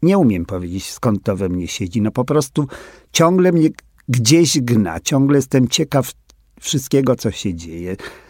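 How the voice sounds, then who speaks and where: In a very clean recording with a silent background and a dry, close sound with no echo, a man at medium pitch speaks at a fairly slow pace with very wide pitch swings. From Poland, Warsaw. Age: 80s+. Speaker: drag queen. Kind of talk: interview.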